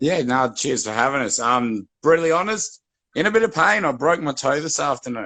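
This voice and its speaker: Bright and sharp in tone, a man with an Australian accent speaks at a fairly high pitch with very wide pitch swings. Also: fairly quick pace. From Western Australia, Perth. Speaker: guest activist. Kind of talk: casual chat.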